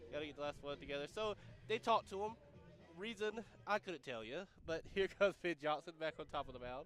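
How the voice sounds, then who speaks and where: With music in the background, a man speaks very fast in a fairly high pitch, his intonation lively, broken by long, frequent pauses. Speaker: college radio play-by-play announcer. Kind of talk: live commentary. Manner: animated.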